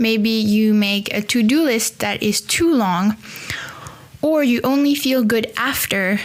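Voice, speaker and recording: Someone with a French accent speaks at a very slow pace over noticeable background noise. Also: woman. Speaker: podcast host. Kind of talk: solo podcast monologue. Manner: casual, conversational with fillers.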